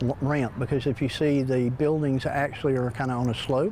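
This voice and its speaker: With an American accent and a medium pitch, a man talks at a fairly quick pace with fairly even intonation over noticeable background noise. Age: 60s. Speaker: antique shop owner. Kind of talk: news interview. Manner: halting.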